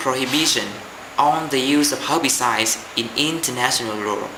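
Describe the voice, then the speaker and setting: Against noticeable background noise and audible room echo, a man with a Vietnamese accent speaks at a moderate pace with a fairly high pitch and ordinary pitch variation. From Vietnam, Hanoi. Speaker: university student. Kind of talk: application video speech. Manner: formal.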